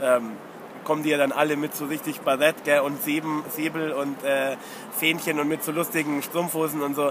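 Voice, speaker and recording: A man speaks at a moderate pace in a fairly high pitch. Noticeable noise sits in the background. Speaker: football fan podcaster. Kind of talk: casual chat. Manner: animated ranting. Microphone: mono recording, technical problems.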